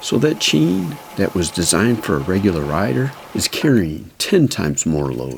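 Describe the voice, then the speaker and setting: This man's voice sits at a very deep, low pitch and moves through very wide pitch swings. He speaks at a fairly slow pace over noticeable background noise. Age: 60s. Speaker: e-bike mechanic and reviewer. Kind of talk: talking-head explainer. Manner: casual, conversational.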